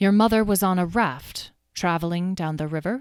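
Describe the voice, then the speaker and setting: A female-sounding, put-on character voice at a medium pitch comes through on a very clean recording with a silent background. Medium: read story. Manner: crisp, proper.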